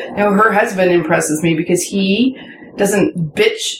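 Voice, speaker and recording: Noticeable background noise behind a woman's fairly slow, medium-pitched speech with ordinary pitch variation. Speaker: podcast host. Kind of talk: casual chat. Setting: hot tub recording.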